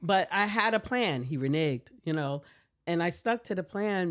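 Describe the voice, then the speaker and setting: Her voice unremarkable, a woman with an American accent talks at a moderate pace, her pitch fairly low and her intonation lively. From US South, Savannah, Georgia. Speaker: tech company founder and CEO. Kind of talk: podcast interview.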